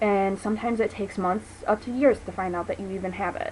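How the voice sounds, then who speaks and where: A woman has an unremarkable speaking voice with an American accent. She talks at a fairly quick pace and medium pitch, with ordinary pitch variation. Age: 20s. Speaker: vlogger. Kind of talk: personal testimony vlog. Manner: casual, filler-heavy.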